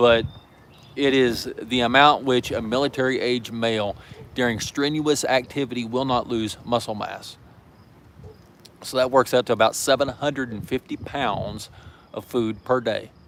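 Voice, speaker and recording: A man with a Southern US accent, monotone and flat, at a moderate pace broken by long, frequent pauses. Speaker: prepper channel host. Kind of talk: live stream chat. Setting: outdoors in backyard. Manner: casual, hesitant with fillers.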